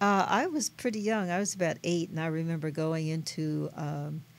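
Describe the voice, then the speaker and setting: A woman's fairly low-pitched voice at a fairly slow pace, with noticeable background noise. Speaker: meditation teacher and event coordinator. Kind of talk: radio interview. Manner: calm.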